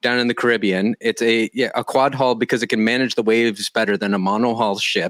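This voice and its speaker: A man's medium-pitched voice at a fairly quick pace, with ordinary pitch variation, in dry, close sound with no echo. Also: very clean recording, silent background. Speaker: podcast host. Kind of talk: casual interview. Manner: fast.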